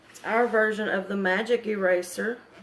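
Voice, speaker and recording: Noticeable background noise surrounds a woman's voice. She speaks at a fairly slow pace with fairly even intonation. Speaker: craft demonstrator. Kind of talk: live craft tutorial.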